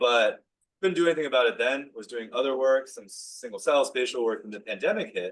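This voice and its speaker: A man at a fairly quick pace, with big swings in loudness. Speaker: professor and physician scientist. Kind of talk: lecture. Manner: fast; casual with many fillers.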